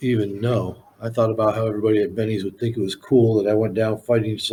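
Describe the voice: Reading aloud, plain and simple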